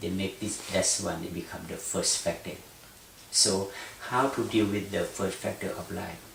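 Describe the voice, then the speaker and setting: A man with a Thai accent speaks at a fairly slow pace and fairly low pitch, with long, frequent pauses and fairly even intonation. Noticeable background noise and audible room echo fill the recording. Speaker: Buddhist meditation teacher. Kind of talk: lecture. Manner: halting.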